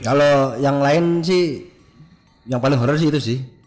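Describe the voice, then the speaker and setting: Music plays in the background as a man speaks at a moderate pace. His pitch is fairly high and his tone relaxed. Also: big swings in loudness. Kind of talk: casual podcast conversation, retelling mountain-hiking horror stories. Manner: relaxed, conversational.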